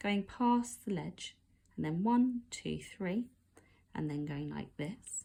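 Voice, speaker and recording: The voice has a dark, mellow tone, comes across somewhat breathy, and moves at a very slow pace. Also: woman. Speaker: art teacher. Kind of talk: tutorial.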